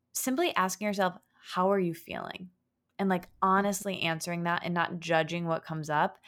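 A woman with an American accent speaks in an unremarkable speaking voice at medium pitch and a moderate pace. Her intonation is fairly even, and the recording is very clean with a silent background. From US Midwest (Michigan). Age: 20s. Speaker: writer and podcast host. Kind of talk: casual interview chat.

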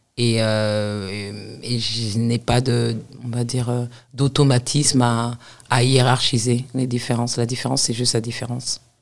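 Her very deep, low pitch stays monotone and flat as the woman speaks. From Paris suburbs, France. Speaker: university lecturer and author. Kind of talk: interview conversation.

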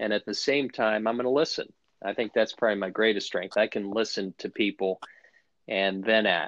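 Someone speaks in an ordinary speaking voice with an American accent at a moderate pace and fairly even intonation, the sound dry and close with no echo against a quiet background. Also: man. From US, Washington DC area. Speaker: golf instructor. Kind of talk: interview.

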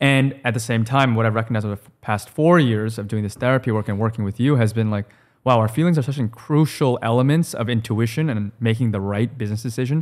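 A man talks at a very fast pace with hardly any pauses. His medium pitch shows ordinary variation in a very clean recording with a silent background. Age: 20s. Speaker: startup co-founder. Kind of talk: casual conversation.

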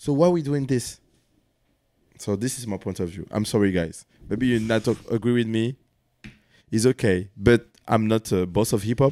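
In a French accent, a man speaks at a medium pitch with ordinary pitch variation. His moderate pace is broken by long, frequent pauses. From France. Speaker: dancer, battle host and magazine founder. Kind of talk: casual chat.

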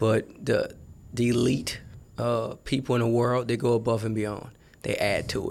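A man at a moderate pace, with monotone, flat intonation. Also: medium pitch for a man. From New Orleans, Louisiana. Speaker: college football recruiting staffer. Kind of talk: casual interview. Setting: studio.

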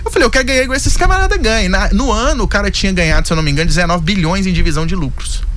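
Over music in the background, a man talks with audible room echo. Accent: mineiro. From Belo Horizonte, Brazil. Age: 20s. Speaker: investor and financial consultant. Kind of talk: radio interview.

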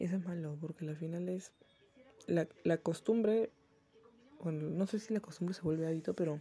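A somewhat breathy voice with a dark, mellow tone, fairly even intonation and a moderate pace. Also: woman. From Peru. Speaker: podcaster. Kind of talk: casual monologue.

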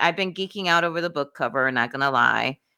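A woman with a Dominican accent speaks at a fairly quick pace, her pitch fairly low and her tone bright and sharp. The recording is very clean, with a silent background. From Dominican Republic. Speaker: book podcast co-host. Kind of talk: casual chat. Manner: laughs often.

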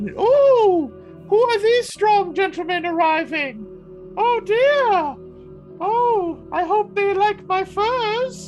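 An extremely high, put-on character voice speaks at a very slow pace. Clear music plays in the background. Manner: fussy, theatrical.

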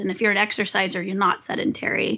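Heard on a very clean recording with a silent background, a woman speaks in a bright, sharp tone. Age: 40s. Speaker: biomechanist and movement author. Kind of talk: interview. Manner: halting.

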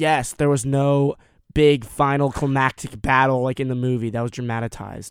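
A man with an ordinary speaking voice speaks at a moderate pace in a medium pitch, his intonation fairly even. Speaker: co-host. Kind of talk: casual banter. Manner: joking, playful.

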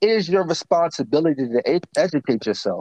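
This man has a normal speaking voice, talking at a moderate pace with lively intonation in a dry, close sound with no echo. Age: 30s. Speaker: motivational speaker and mentor. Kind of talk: casual chat.

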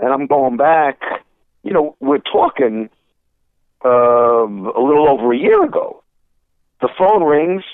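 With a New York accent, a man speaks at a fairly slow pace, leaving long, frequent pauses. His voice is fairly high-pitched, with lively intonation and very even loudness. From Brooklyn, New York. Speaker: sports broadcaster. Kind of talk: radio interview.

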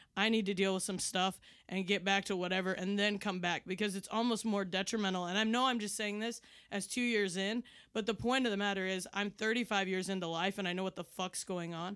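Here a woman speaks at a medium pitch and a fairly quick pace. The recording is very clean, with a silent background. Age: 30s. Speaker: comedian. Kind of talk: casual chat. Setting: studio. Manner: animated, passionate.

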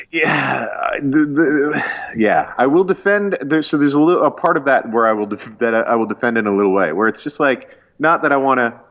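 This man has a plain, everyday voice, pitched fairly high for a man. His intonation is lively, and he barely pauses at all. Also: moderate pace. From rural Canada. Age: 30s. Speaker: pastor and comedian. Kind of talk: casual chat.

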